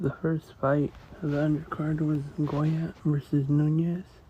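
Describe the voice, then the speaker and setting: Soft-spoken delivery moves at a very slow pace. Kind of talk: ASMR soft-spoken commentary.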